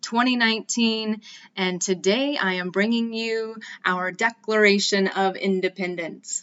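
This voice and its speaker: In a normal speaking voice with an American accent, a woman talks at a fairly slow pace, her medium pitch carrying ordinary variation. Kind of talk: podcast intro talk. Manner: casual, friendly.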